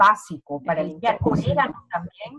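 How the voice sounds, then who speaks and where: A somewhat breathy woman at a fairly slow pace, dry and close with no echo. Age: 40s. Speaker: essential oils advocate. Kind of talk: interview.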